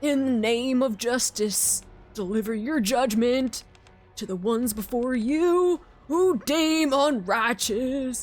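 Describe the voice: Someone uses a put-on character voice at a fairly high pitch and a fairly slow pace. Faint music plays in the background.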